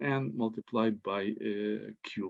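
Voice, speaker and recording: Over a quiet background, a medium-pitched man with a Ukrainian accent speaks with ordinary pitch variation, the sound dry and close with no echo. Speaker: mathematician. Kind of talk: conference talk. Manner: halting.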